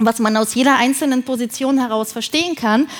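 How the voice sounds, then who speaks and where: Noticeable background noise accompanies a woman speaking at a moderate pace, her pitch variation ordinary. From Thuringia, Germany. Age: 40s. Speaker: film producer. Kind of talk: keynote talk. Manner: halting, many fillers.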